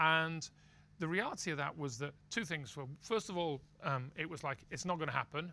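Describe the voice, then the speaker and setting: With a bright, sharp tone, a man talks at a moderate pace in a fairly high pitch with ordinary pitch variation. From UK. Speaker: prediction market executive. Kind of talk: interview.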